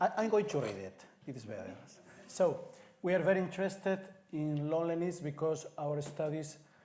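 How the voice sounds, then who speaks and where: Speaking with a Spanish accent, this man's voice has a mellow, dark tone. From Spain, Madrid. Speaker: city councillor. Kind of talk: reading aloud.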